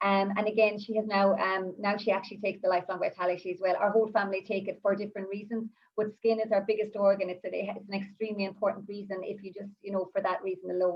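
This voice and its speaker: A woman speaks very fast in an Irish accent. Her pitch is medium and her intonation monotone and flat. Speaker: essential oils advocate and mother. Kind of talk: live-streamed panel talk, personal testimony. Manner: halting, many fillers and restarts.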